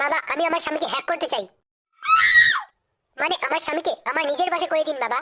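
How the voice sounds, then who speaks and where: A man shouts in a cartoonish character voice. His pitch is extremely high and his pace fairly quick. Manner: loud, coarse.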